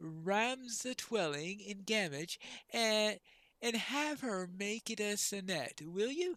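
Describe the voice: Lively intonation over plain reading aloud.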